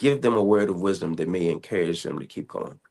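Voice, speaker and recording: A normal speaking voice, a man with a fairly low pitch and an American accent at a fairly quick pace against a quiet background. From Southern Virginia. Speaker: podcast host. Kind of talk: interview.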